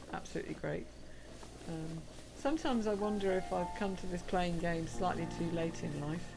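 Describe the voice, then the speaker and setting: Music plays in the background and audible room echo surrounds a woman speaking at a moderate pace. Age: 50s. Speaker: gaming streamer. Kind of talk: casual gameplay livestream chat.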